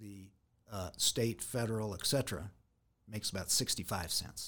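A somewhat breathy man with an American accent, fairly low in pitch, at a moderate pace, in a very clean recording with a silent background. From US West Coast, San Diego. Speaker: local party official. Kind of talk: interview. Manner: halting with frequent fillers.

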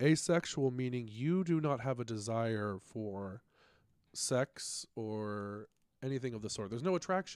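A man with a plain, everyday voice at medium pitch, fairly slow pace, very clean recording with a silent background. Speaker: guest. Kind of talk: casual chat.

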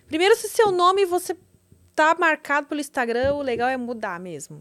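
A woman talks at a moderate pace in a high pitch. Her pitch swings very widely and her loudness shifts a lot. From Rio Grande do Sul, Brazil (Porto Alegre). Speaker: podcast host. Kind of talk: casual interview.

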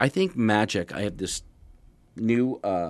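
Against a quiet background, a man with an American accent uses a normal speaking voice at a fairly low pitch with ordinary pitch variation. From Erie, Pennsylvania. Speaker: magician. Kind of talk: interview. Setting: studio.

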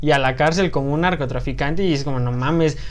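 Audible room echo around a man's fairly high voice. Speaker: podcast host; engineering student. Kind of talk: casual chat.

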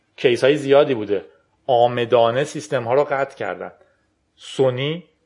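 A man speaks in an ordinary speaking voice at a medium pitch and a moderate pace. His intonation is fairly even, and the background is quiet. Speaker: podcast host. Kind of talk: casual tech talk.

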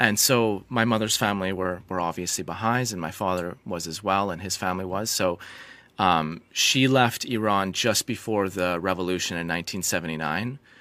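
With a Canadian accent, a man speaks in a very deep, low pitch and a bright, sharp tone. His pace is moderate with ordinary pitch variation, on a very clean recording with a silent background. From British Columbia, Canada. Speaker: medical doctor and geoscientist. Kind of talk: interview conversation.

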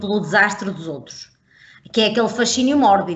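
The speaker's pitch varies in an ordinary way. Room echo can be heard. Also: woman. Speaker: podcast co-host. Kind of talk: casual chat.

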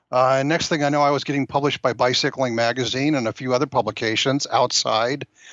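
With hardly any pauses, a man with an American accent speaks at a medium pitch and with fairly even intonation. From California, San Gabriel Valley near Los Angeles. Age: 60s. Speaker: novelist and marketing professional. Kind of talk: interview conversation. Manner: halting with many fillers.

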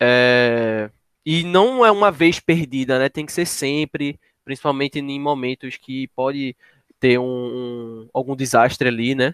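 A man with an unremarkable speaking voice, medium in pitch with ordinary pitch variation, talks at a fairly slow pace in a dry, close sound with no echo. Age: 20s. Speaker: geography student. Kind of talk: educational podcast conversation.

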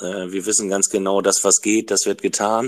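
In a very clean recording with a silent background, a man with an ordinary speaking voice talks at a fairly slow pace in a fairly low pitch. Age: 50s. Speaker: trained carpenter joining a live audio room. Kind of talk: casual discussion.

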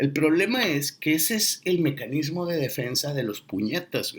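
This man has an unremarkable speaking voice, talking at a fairly slow pace with lively intonation. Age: 40s. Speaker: podcast host. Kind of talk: casual monologue.

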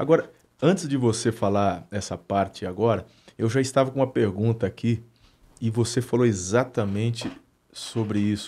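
A man's dark, mellow voice sits at a medium pitch and a moderate pace. The recording is very clean, with a silent background. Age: 40s. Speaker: pastor and podcast host. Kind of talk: casual interview chat.

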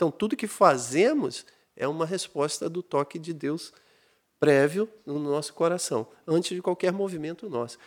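A man speaks at a high pitch with ordinary pitch variation. His moderate pace comes through in a very clean recording with a silent background. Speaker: pastor. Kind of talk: casual chat.

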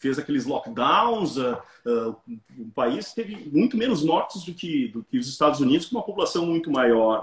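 A man talks at a moderate pace in a somewhat breathy, fairly high voice, with very wide pitch swings and big swings in loudness. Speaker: businessman and author. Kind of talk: casual interview. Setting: Instagram live video call.

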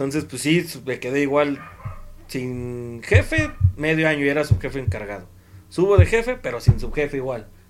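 Using a plain, everyday voice, a man speaks at a moderate pace and fairly high pitch, with lively intonation and big swings in loudness. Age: 20s. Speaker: former youth scout coordinator. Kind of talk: casual chat.

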